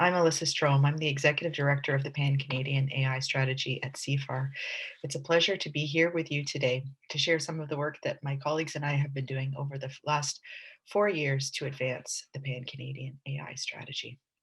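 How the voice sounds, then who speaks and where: A woman speaks with a very deep, low pitch and a somewhat breathy quality. Her pace is moderate and her intonation fairly even. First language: English (speaking French). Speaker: AI strategy executive. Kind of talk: prepared presentation. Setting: video recording.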